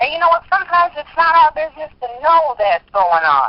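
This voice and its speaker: A high-pitched woman with a strong US East Coast accent, talking at a fairly quick pace. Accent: heavy US East Coast. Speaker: spoken word poet. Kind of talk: interview conversation.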